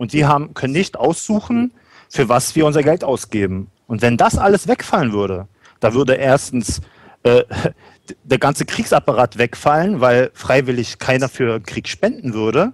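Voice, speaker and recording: In a normal speaking voice, a man talks at a moderate pace and medium pitch with lively intonation, the sound dry and close with no echo. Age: 30s. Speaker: guest, trainee alternative practitioner. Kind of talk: panel discussion.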